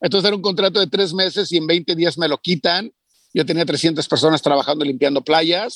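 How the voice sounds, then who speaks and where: Recorded dry and close with no echo, a man talks at a fairly quick pace. His voice sits high in pitch, with ordinary variation. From Mexico. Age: 40s. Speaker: entrepreneur. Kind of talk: interview.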